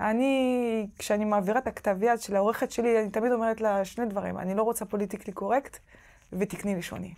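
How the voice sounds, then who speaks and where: A woman with a French accent speaks fairly quickly at a fairly high pitch, her intonation fairly even, against a quiet background. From France. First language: French (speaking Hebrew). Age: 30s. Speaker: novelist; interviewee. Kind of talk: interview; interview answer. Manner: halting. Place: hall. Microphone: lapel.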